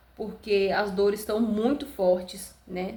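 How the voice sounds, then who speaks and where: A woman talks at a medium pitch with fairly even intonation. There is noticeable background noise. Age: 20s. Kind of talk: casual talk to camera, birth story.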